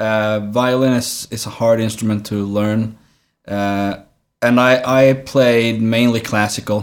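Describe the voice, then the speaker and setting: A man with a Swedish accent speaks at a medium pitch in a monotone, flat intonation. His pace is very slow on a very clean recording with a silent background. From southern Sweden. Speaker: actor. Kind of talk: casual interview.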